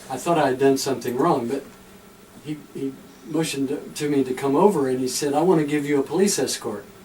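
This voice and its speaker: Over noticeable background noise, a man with an American accent speaks fairly quickly at a fairly high pitch, with ordinary pitch variation. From Tennessee. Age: 60s. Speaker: pastor walking across America. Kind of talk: radio interview. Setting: radio studio.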